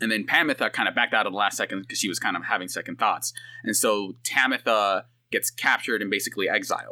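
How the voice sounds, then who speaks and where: On a very clean recording with a silent background, a man talks at a very fast pace in a dry, close sound with no echo. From San Francisco Bay Area, US. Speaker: video game consultant. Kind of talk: casual chat.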